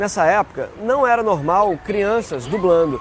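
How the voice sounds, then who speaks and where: A man speaks with lively intonation. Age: 40s. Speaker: voice actor. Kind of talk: interview answer.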